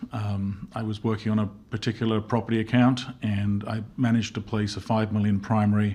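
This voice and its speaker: Against a quiet background, someone with an English accent speaks in a monotone, flat intonation. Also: man. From London, England. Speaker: insurance executive. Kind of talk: interview podcast.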